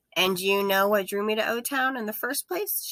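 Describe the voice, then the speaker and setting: A put-on character voice, female-sounding and fairly high-pitched, at a moderate pace. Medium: read story. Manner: flat, matter-of-fact.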